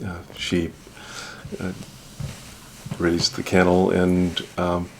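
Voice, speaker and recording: The speaker has an Alaskan accent and a monotone, flat intonation. The pace is very slow. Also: man. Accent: Alaskan American. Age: 60s. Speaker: judge, trip participant. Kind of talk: interview.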